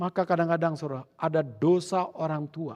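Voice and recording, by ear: A man talks at a fairly quick pace with a fairly high pitch. His tone is slightly mellow, with ordinary pitch variation.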